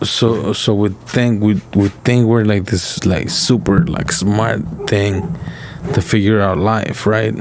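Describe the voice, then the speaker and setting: Over noticeable background noise and audible room echo, a man with a fairly low pitch speaks at a very slow pace and very even loudness. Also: ordinary pitch variation. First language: not English. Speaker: podcast co-host. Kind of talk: casual chat. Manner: halting.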